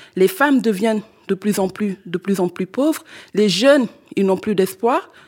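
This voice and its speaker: Someone with a Senegalese accent speaks at a moderate pace with ordinary pitch variation, in a dry, close sound with no echo. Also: woman. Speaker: climate activist. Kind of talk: panel discussion. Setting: stage with audience.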